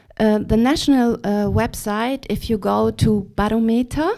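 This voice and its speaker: On a very clean recording with a silent background, a woman with a non-native accent speaks fairly slowly, her fairly high voice dark and mellow in tone. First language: not English. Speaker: audience member. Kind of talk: audience question. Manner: halting.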